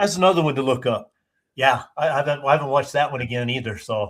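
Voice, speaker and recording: This man's voice is somewhat breathy, moving fairly quickly with ordinary pitch variation. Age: 60s. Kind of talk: casual chat.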